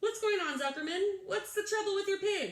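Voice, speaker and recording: A put-on character voice from a woman, squeaky and extremely high in pitch, comes at a moderate pace with ordinary pitch variation, very even loudness, and slight echo. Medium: read story. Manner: pompous, oratorical.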